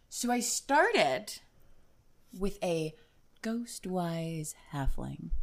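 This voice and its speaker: Using lively intonation, a woman speaks at medium pitch and a very slow pace with long, frequent pauses. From New Jersey. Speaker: guest on tabletop role-playing podcast. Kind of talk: casual chat. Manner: animated.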